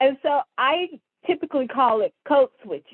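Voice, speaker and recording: A woman speaks with a Southern US accent at a high pitch. Her pace is fairly slow. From US South, Mississippi. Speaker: chemical industry data analyst. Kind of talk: interview.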